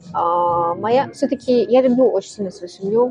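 With ordinary pitch variation, the speech comes out somewhat breathy. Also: woman. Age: 20s. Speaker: bartender. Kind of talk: casual chat.

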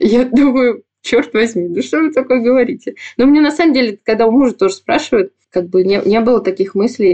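A woman talks at a moderate pace with very even loudness, her fairly high pitch making very wide swings. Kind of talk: interview testimony. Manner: calm.

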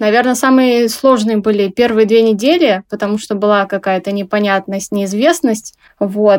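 At a fairly slow pace, a woman uses a normal speaking voice, fairly high in pitch with ordinary pitch variation. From Russia, Tomsk. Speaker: small clothing brand owner. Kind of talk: interview.

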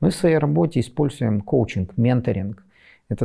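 In a very clean recording with a silent background, a man of medium pitch speaks at a moderate pace, his tone dark and mellow and somewhat breathy. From western Ukraine. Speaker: civic activist. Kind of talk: interview monologue. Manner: halting.

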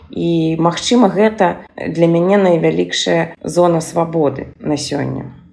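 Noticeable background noise sits behind a woman with a fairly low pitch. She talks at a very slow pace with ordinary pitch variation. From Belarus, Minsk. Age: 40s. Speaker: gestalt therapist. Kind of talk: recorded monologue.

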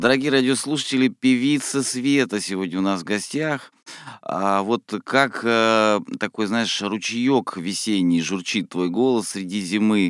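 Speaking at a fairly slow pace in a normal speaking voice, a man with a fairly low pitch and ordinary pitch variation is heard on a very clean recording with a silent background. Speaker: radio host. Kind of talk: radio interview. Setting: radio studio.

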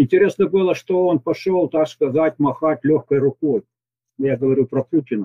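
A man talks at a moderate pace with a fairly high pitch and ordinary pitch variation. His loudness stays very even. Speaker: retired military commander, expert. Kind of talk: recorded interview answering questions. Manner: halting, with stumbles.

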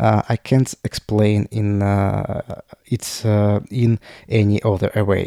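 A man with a Russian accent and a fairly low pitch speaks very slowly in a dark, mellow tone, his intonation monotone and flat and his loudness very even, with a dry, close sound and no echo. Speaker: podcaster. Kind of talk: personal monologue. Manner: halting.

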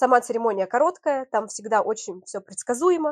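A woman uses an ordinary speaking voice with ordinary pitch variation at a fairly quick pace, recorded dry and close with no echo. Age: 30s. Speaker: TV presenter and event host. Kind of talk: interview.

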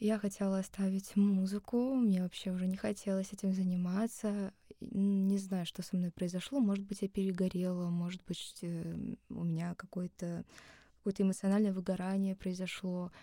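A woman speaks at medium pitch and a moderate pace, somewhat breathy. Her tone is dark and mellow, her intonation flat and monotone. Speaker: singer. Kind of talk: casual chat. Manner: soothing.

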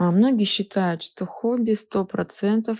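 A woman speaks with a dark, mellow tone and ordinary pitch variation. The sound is dry and close with no echo, on a very clean recording with a silent background. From Siberia, Russia (Novokuznetsk). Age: 30s. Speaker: psychologist. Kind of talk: expert talk.

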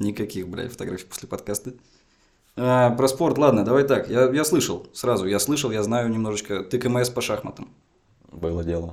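A man at a moderate pace, ordinary pitch variation, and long, frequent pauses. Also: medium pitch for a man. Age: young. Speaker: comedian co-host. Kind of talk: comedic interview.

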